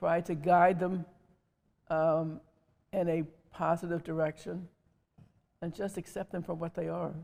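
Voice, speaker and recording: A woman with an American accent and a fairly low, dark, mellow voice, in monotone, flat intonation at a fairly slow pace with long, frequent pauses. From Wilmington, Delaware, USA. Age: 80s+. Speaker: mother and foster mother. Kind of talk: interview answer.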